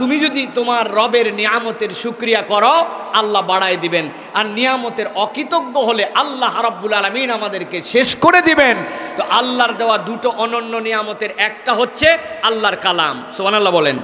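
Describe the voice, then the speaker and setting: An animated, raised and projected male voice, high in pitch with ordinary variation, over light background noise. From Bangladesh. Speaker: Islamic preacher. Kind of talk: sermon. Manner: animated, exhorting the crowd. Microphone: podium.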